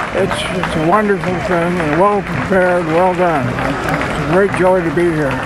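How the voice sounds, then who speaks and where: A man with an American accent and a high pitch speaks amid audible room echo and crowd noise in the background. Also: fairly even intonation, moderate pace, hardly any pauses. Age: 90s. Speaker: war veteran. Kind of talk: interview. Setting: outdoors along parade route.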